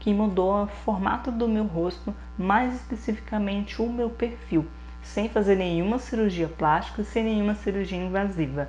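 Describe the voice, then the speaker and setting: A woman speaks at a moderate pace. Her loudness stays very even. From Minas Gerais, Brazil. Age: 30s. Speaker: beauty youtuber. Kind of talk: vlog introduction. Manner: casual, chatty.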